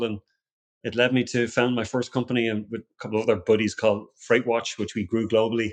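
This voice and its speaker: In an Irish accent, a man speaks at a medium pitch with monotone, flat intonation. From Ireland. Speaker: security company founder, ex-special forces. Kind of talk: podcast interview. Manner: halting, many repetitions.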